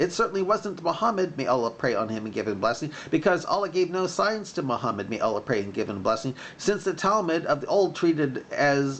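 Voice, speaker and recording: A man speaks in a shrill, put-on character voice pitched high, at a fairly quick pace with hardly any pauses. Background noise is clearly audible. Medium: read story.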